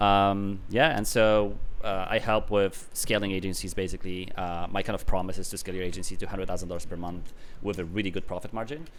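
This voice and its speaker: A man talks at a very fast pace with a fairly low pitch and fairly even intonation. He speaks with an Eastern European accent. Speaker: business consultant. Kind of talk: casual interview.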